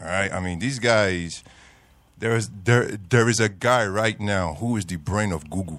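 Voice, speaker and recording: Moderate-paced male speech with ordinary pitch variation. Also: very clean recording, silent background. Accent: American. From US South, Georgia. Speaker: former US Marine, studio guest. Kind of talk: radio panel discussion.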